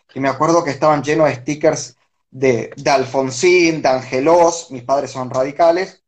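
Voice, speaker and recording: A man speaks in an ordinary speaking voice at a fairly high pitch. His pace is moderate. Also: fairly even intonation. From Argentina, Buenos Aires area (Avellaneda). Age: 30s. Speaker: political analyst. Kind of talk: interview.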